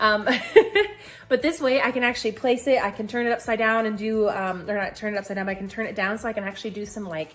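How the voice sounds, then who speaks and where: Her pitch fairly high, a woman rattles along at a very fast pace. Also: ordinary pitch variation. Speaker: health challenge vlogger. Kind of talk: casual vlog. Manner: animated.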